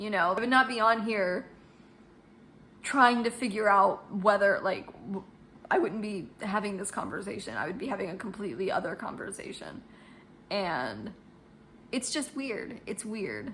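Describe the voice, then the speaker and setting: A woman speaks at a moderate pace with medium pitch and ordinary pitch variation. Her loudness swings widely amid long, frequent pauses and noticeable background noise. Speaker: vlogger. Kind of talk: casual vlog talking to camera. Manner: halting, many fillers and restarts.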